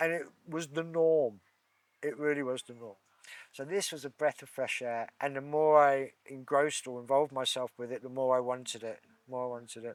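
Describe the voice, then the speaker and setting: A man with an English accent and a fairly high voice talks at a fairly quick pace. His intonation stays fairly even while his loudness swings widely. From England. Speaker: Reiki practitioner. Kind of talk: interview conversation.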